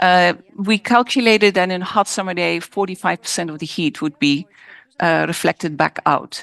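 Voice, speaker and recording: A woman speaks at a moderate pace with a Dutch accent. The sound is dry and close with no echo, over a quiet background. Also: medium pitch for a woman, ordinary pitch variation. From Netherlands. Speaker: architect. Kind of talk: design presentation Q&A. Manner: halting, self-correcting.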